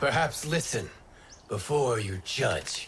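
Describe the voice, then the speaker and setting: A man uses a put-on character voice, raspy and fairly high in pitch. His pace is fairly slow. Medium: video game. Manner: calm, measured.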